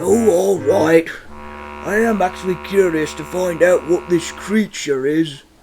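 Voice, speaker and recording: Using a put-on character voice, a man talks at a high pitch and a fairly slow pace. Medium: machinima. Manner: polite, careful.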